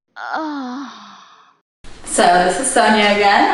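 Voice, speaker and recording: A woman talks at a very slow pace, with audible room echo around her voice. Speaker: audio test volunteer. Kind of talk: casual chat. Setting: outdoors. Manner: loud.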